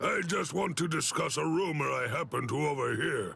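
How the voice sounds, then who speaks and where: A man does a put-on character voice at a fairly high pitch. Clear music plays in the background. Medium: video game. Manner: gruff, authoritative.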